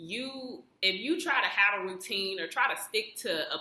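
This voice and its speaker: A woman talks at a fairly slow pace in a medium pitch. Noticeable background noise is present. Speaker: astrology youtuber. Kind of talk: casual explainer monologue. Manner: halting, with fillers.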